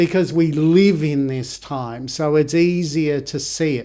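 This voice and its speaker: Very slowly, a man speaks in a fairly high voice with a dark, mellow tone. His pitch varies in an ordinary way. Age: 60s. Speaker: homeopath and author. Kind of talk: casual chat. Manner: halting.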